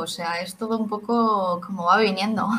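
There is audible room echo around this woman's voice, along with noticeable background noise. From Spain, Valencia. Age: 20s. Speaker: 3D printing craft maker. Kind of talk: interview.

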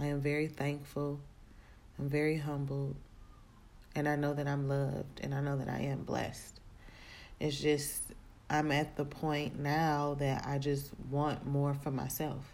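In a room with audible echo, a woman with a very deep, low pitch speaks at a fairly slow pace in a monotone, flat delivery, leaving long, frequent pauses. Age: 30s. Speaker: podcaster and wardrobe stylist. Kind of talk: personal monologue. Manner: hesitant, many fillers.

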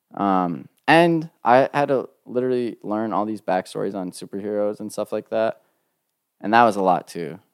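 A man with an American accent speaks at a fairly low pitch and moderate pace, with lively intonation, in a normal speaking voice. The recording is very clean, with a silent background and a dry, close sound with no echo. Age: 20s. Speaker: screenwriter. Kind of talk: casual chat.

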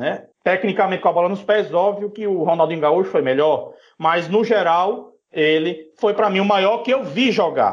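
Using ordinary pitch variation, a man speaks at a high pitch and a moderate pace. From Maceió, northeast Brazil. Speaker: football podcast panelist. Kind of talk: casual chat.

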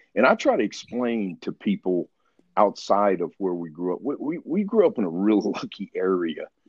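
A man speaks at a moderate pace with a West Virginia accent. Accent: Appalachian West Virginia. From West Virginia, Ripley. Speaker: former pro football player and coach. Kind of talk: interview.

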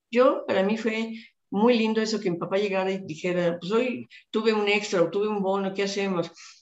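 A woman speaks at a fairly quick pace with fairly even intonation. She has a plain, everyday voice at medium pitch. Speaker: retired public official and speaker. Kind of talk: interview conversation.

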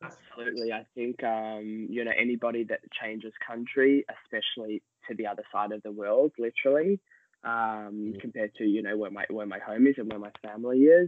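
The speaker is a man with a fairly quick delivery. His volume rises and falls a great deal. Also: medium pitch for a man, fairly even intonation. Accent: Australian. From Australia, Melbourne. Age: young. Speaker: fashion industry worker. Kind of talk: interview.

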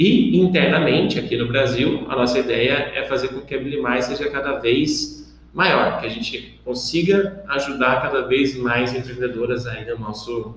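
A man at medium pitch and a fairly slow pace, with audible room echo and noticeable background noise. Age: 20s. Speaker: business founder. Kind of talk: podcast monologue. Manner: casual with filler words.

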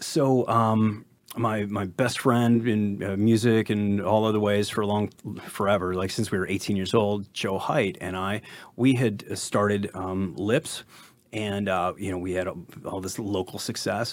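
A man with an unremarkable speaking voice talks at a fairly slow pace. His pitch is fairly low, and his intonation fairly even. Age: 50s. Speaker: musician and business owner. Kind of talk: casual chat. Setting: studio.

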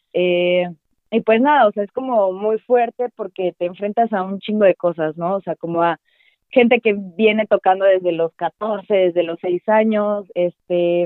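At a fairly slow pace, a woman with a plain, everyday voice speaks in a medium pitch with ordinary pitch variation. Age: 20s. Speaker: drummer and musician. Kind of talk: casual interview chat. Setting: call.

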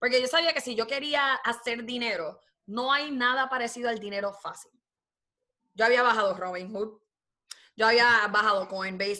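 A woman has a bright, sharp tone and a fairly high pitch with ordinary pitch variation. She talks at a fairly quick pace. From Puerto Rico. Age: 20s. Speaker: forex trader and recent graduate. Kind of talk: casual interview.

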